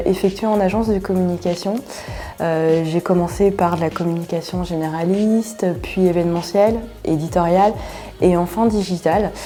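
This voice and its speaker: Noticeable background noise runs under a woman's moderately paced speech. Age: 40s. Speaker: agile coach. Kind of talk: interview testimony. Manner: hesitant, many filler sounds.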